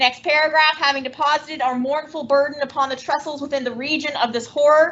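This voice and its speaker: A woman's loud, high voice at a moderate pace. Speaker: teacher. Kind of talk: classroom lecture with reading aloud. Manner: animated.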